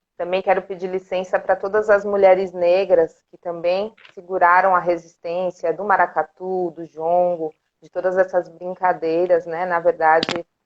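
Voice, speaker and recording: The voice moves at a fairly slow pace with monotone, flat intonation and big swings in loudness. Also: woman, medium pitch for a woman. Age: 30s. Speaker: art educator and cultural group director. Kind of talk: casual interview on a live stream. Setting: live video stream.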